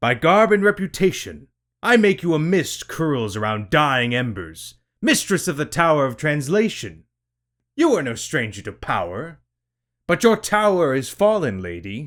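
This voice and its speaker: Using a put-on character voice, a man speaks at a moderate pace with fairly high pitch and very wide pitch swings, in a very clean recording with a silent background. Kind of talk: archaic formal speech. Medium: read story. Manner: gruff, formal.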